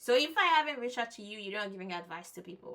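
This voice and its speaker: A woman with a French accent talks at a fairly quick pace, her pitch swinging very widely. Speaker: event host and vlogger. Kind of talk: casual vlog narration. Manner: halting, self-correcting.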